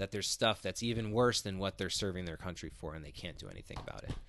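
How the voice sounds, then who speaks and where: A man speaks in a normal speaking voice, fairly low-pitched, with fairly even intonation. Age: 40s. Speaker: author and photographer. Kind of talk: casual chat. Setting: in person, recorded on location.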